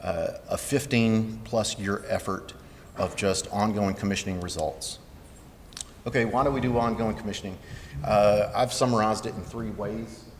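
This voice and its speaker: A man with a Southern US accent speaks with fairly even intonation. There is noticeable background noise and audible room echo. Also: medium pitch for a man, moderate pace. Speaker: building commissioning engineer, conference presenter. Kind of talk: conference presentation.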